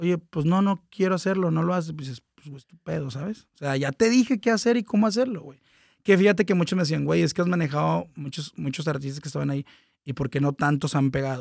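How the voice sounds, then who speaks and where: A man's fairly high-pitched, fairly quick speech with lively intonation and big swings in loudness, dry and close with no echo, on a very clean recording with a silent background. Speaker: music manager and entertainment consultant. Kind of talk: casual chat.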